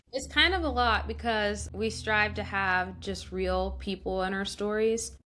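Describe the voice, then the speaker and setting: Speaking fairly slowly with hardly any pauses, a woman with an American accent is heard over background music. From Florida, US. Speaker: TV news reporter. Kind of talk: podcast interview.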